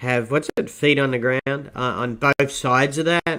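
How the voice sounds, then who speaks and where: Speaking in an Australian accent, a man talks fairly slowly at medium pitch with fairly even intonation. His tone is bright and sharp, and the sound is dry and close with no echo. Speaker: market podcast host. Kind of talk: market commentary podcast. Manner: casual, hesitant with fillers. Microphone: distorted sound.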